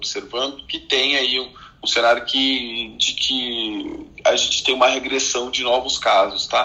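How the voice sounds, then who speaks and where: Noticeable noise sits in the background. A man talks over it at a moderate speed. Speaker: physician. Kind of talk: casual chat. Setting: Clubhouse audio room.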